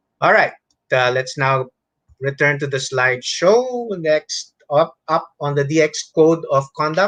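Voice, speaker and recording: A man speaks at a fairly high pitch with a Filipino accent. The sound is dry and close, with no echo. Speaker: amateur radio instructor. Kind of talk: lecture. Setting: online webinar. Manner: code-switching between English and Tagalog.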